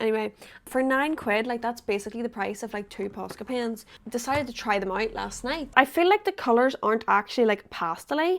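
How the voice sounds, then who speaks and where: A woman with an Irish accent talks at a fairly high pitch and a fairly quick pace with ordinary pitch variation, in a very clean recording with a silent background. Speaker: artist and vlogger. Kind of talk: casual vlog chat. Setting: bedroom. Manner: chatty, rambling fast.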